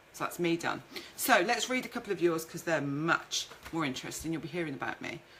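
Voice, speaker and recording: A woman speaks in a fairly low voice with a Birmingham accent. Noticeable background noise can be heard. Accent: Birmingham (Brummie) English. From Birmingham, England. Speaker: food marketing business owner. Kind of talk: live-stream presentation. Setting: Facebook live video stream. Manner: chatty, informal.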